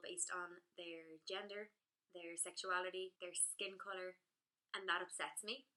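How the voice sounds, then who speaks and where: This woman has a bright, sharp tone at a medium pitch. She speaks at a moderate pace. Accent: Irish. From Ireland. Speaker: blogger. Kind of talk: vlog monologue.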